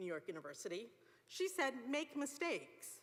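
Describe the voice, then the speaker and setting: A woman speaks in a high pitch with a bright, sharp tone and very wide pitch swings. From England. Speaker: law graduate student speaker. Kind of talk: commencement speech.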